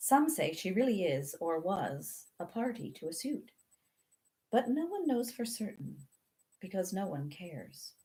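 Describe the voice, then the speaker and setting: With vocal fry and very wide pitch swings, a woman speaks at medium pitch and a fairly slow pace in a dark, mellow tone. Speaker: children's book author. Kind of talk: audiobook reading of a classic novel.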